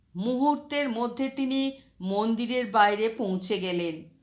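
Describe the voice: At a fairly slow pace, a woman speaks in a fairly high pitch with ordinary pitch variation.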